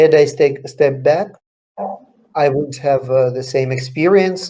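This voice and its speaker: A man's fairly high, somewhat breathy voice with a dark, mellow tone, in a Russian accent, at a moderate pace. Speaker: author. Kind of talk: interview Q&A. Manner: halting.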